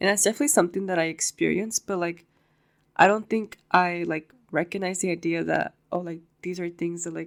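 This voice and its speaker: A woman's fairly low pitch with fairly even intonation. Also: fairly quick pace. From East Los Angeles. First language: Spanish. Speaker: university student. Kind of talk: podcast interview.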